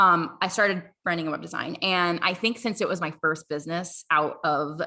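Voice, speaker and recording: A woman speaks in a fairly low voice with ordinary pitch variation and a bright, sharp tone. The recording is very clean, with a silent background. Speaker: brand designer and mindset coach. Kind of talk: podcast interview. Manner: fast.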